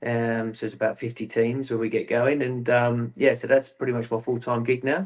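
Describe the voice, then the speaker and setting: With a slight Australian accent, a man talks at a moderate pace and medium pitch in a flat monotone, with hardly any pauses. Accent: English with a slight Australian lilt. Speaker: football coach, former player. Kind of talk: interview.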